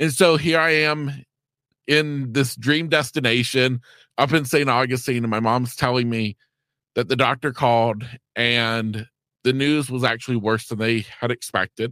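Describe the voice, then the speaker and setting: A man with an American accent, a bright, sharp tone and fairly even intonation, in a very clean recording with a silent background and a dry, close sound with no echo. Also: medium pitch for a man, moderate pace. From US South, East Central Florida. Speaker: life coach and podcast host. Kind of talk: interview storytelling.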